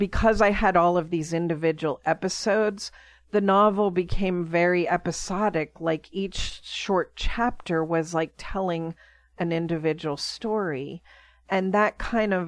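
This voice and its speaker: A woman with an American accent speaks in a normal speaking voice, her pitch fairly low and her intonation fairly even. She talks at a fairly slow pace against a quiet background. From Pittsburgh, Pennsylvania. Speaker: children's author. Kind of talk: interview.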